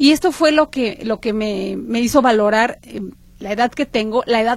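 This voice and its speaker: A woman with a fairly high-pitched voice speaks at a moderate pace. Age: 50s. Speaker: writing workshop teacher. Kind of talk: interview.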